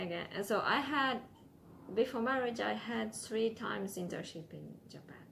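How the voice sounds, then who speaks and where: A woman's fairly high voice with vocal fry, big swings in loudness, ordinary pitch variation, a moderate pace and audible room echo. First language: Ukrainian or Russian. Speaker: immigrant interviewee, former English teacher. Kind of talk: interview. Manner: halting, many fillers.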